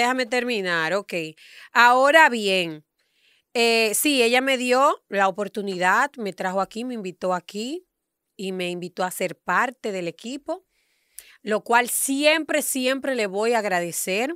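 A woman's fairly high, bright, sharp voice with lively intonation at a fairly slow pace, dry with no echo, over a quiet background. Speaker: radio show panelist; radio panelist. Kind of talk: heated debate. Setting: radio studio, live on camera. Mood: indignant, defensive. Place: studio. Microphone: studio mic.

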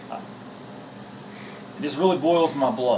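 A man is speaking with ordinary pitch variation. There is light background noise. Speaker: video blogger. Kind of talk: angry rant, heated vlog-style venting about meddling people in relationships. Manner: rambling, conversational, with sarcastic mock-dialogue and laughter. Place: home room. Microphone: camera far.

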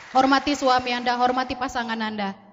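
Over light background noise, a woman talks at a fairly quick pace. Her high voice has monotone, flat intonation. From Indonesia, Medan (North Sumatra); North Sumatra, Indonesia. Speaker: network marketing distributor; speaker. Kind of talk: motivational talk on stage. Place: hall.

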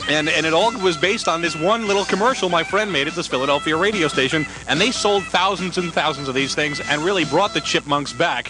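A man with an American accent, high-pitched and very fast with hardly any pauses and ordinary pitch variation, dry with no echo and music in the background. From Washington, D.C. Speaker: radio DJ, morning show host. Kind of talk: radio morning show banter. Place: studio. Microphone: studio mic.

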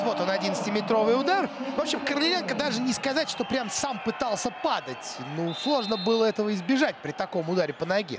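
Over noticeable background noise, a man speaks in an animated, excited tone. His voice is high-pitched, with lively intonation. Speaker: football commentator. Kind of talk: live football commentary. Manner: animated, quick-paced play-by-play with excited reaction at the goal; opinionated, conversational analysis of the penalty and replay.

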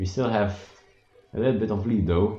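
In a Dutch accent, a man talks at a moderate pace with ordinary pitch variation and a dark, mellow, somewhat breathy tone. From Belgium. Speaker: gaming streamer. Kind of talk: live gameplay commentary. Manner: animated; halting.

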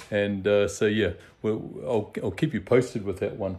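Speaking at a fairly quick pace, a man uses a fairly low pitch and fairly even intonation. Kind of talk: casual vlog chat. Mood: relaxed, cheerful. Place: garage. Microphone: phone near.

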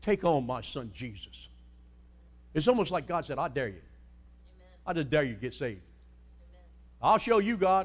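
With an American accent and vocal fry, a man in a fairly high pitch talks at a moderate pace in an animated tone, his pitch swinging very widely, his loudness rising and falling sharply, and long, frequent pauses breaking up his speech. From US Mid-Atlantic, Sussex County, Delaware; Delaware. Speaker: pastor. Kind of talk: sermon. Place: church.

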